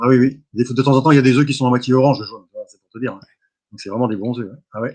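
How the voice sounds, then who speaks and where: A man with a medium pitch rattles off his words at a very fast pace. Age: 60s. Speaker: cattle hoof trimmer. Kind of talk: interview testimony. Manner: halting, repetitive.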